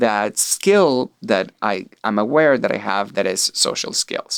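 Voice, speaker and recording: In a Venezuelan accent, a man speaks at a fairly slow pace with a medium pitch, the sound dry and close with no echo. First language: Spanish. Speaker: artist. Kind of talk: interview conversation.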